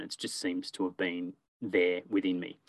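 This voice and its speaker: With an Australian accent, a man speaks at a moderate pace in a very deep, low pitch. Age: 30s. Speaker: storytelling business owner. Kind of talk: casual interview.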